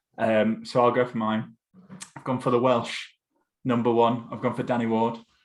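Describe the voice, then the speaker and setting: A man with a northern English accent talks at a moderate pace and a medium pitch. His intonation is flat and monotone, while his loudness swings widely. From Essex, England. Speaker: football podcast host. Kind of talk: casual podcast chat.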